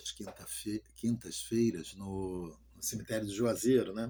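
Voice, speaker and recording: This man's voice has a dark, mellow tone, fairly even intonation and a moderate pace. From Rio de Janeiro, Brazil. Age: 60s. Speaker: pastor. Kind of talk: testimony. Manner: halting.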